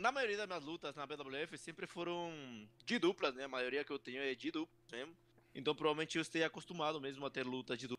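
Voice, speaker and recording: The man's tone is bright and sharp. He keeps a moderate pace with ordinary pitch variation. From Peru. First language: Spanish (speaking Portuguese). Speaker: professional wrestler. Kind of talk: interview. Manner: halting.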